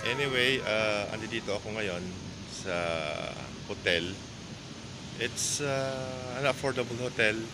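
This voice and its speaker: Noticeable background noise sits behind a man speaking at a fairly slow pace. His pitch varies in an ordinary way, and he leaves long, frequent pauses. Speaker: travel vlogger. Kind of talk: casual vlog chat. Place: street. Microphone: earbuds.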